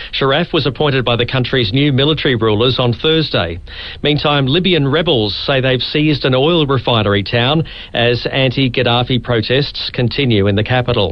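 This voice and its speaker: Amid noticeable background noise, a man talks at a moderate pace with ordinary pitch variation and very even loudness. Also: medium pitch for a man. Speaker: radio news presenter. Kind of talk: radio news bulletin.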